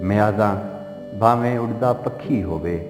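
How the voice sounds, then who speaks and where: With music playing behind him, a man speaks at a medium pitch. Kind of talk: poetry reading.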